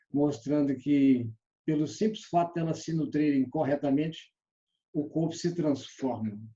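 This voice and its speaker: A man's somewhat breathy, dark and mellow voice, fairly high in pitch, at a fairly slow pace with ordinary pitch variation. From Brazil, Belo Horizonte. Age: 60s. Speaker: sales trainer. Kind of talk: online lecture.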